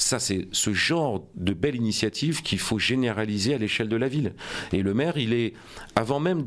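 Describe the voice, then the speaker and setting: A man keeps a moderate pace, his intonation lively. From France, Rouen (Normandy). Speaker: politician, mayoral candidate. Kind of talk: radio interview. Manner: hesitant, many fillers.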